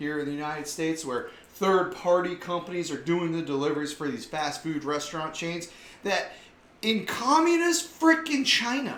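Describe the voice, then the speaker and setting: A man with an American accent, high pitch, ordinary pitch variation and a moderate pace, in a room with audible echo. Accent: Southern US, occasional. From US South. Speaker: online commentary show host. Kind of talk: casual commentary monologue; reading news aloud. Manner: animated.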